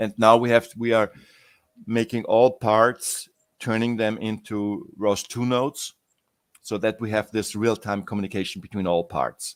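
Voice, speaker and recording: This very clean recording with a silent background has a man speaking at medium pitch and a moderate pace with fairly even intonation. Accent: non-native. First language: not English. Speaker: software project founder. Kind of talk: interview. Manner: halting.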